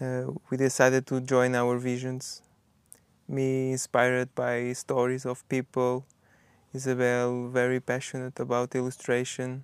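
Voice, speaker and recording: With a Portuguese accent, a man speaks at a fairly slow pace in a medium-pitched voice with monotone, flat intonation, on a very clean recording with a silent background. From Portugal. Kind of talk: personal narration in documentary.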